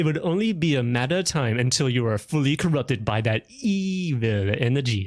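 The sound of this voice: The unforced reading voice has lively intonation throughout.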